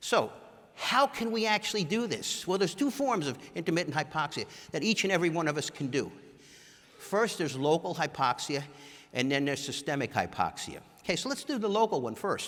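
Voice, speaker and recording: A man's high, animated voice swings very widely in pitch on a very clean recording with a silent background. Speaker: orthopedic surgeon. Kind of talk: conference talk. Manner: fast.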